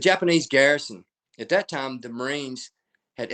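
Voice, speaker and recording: A man with an American accent, talking at a fairly quick pace. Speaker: military historian and author. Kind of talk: lecture. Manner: fast.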